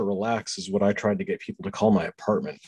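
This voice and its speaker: A man's unremarkable speaking voice, medium in pitch and at a fairly quick pace. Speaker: co-host, surgeon. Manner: joking, self-deprecating.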